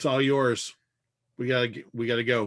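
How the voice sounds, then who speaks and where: A man puts on a raspy character voice at a medium pitch. He goes at a fairly quick pace with monotone, flat intonation. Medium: actual play.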